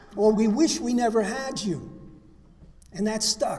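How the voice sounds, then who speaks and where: A man talks at a fairly slow pace with lively intonation. The room echo is audible. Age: 70s. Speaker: recovery speaker. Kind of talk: testimony. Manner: halting.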